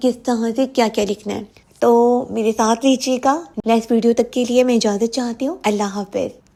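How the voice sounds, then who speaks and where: At a moderate pace, a woman with a fairly high pitch speaks in a dark, mellow tone and a monotone, flat intonation. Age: young. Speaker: YouTuber. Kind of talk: vlog.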